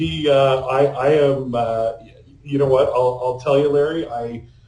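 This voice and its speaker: With a Canadian accent, a man speaks at a medium pitch and fairly slow pace in a dark, mellow, somewhat breathy tone with fairly even intonation, amid audible room echo. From Canada. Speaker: AI consultant. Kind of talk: podcast interview. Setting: remote call.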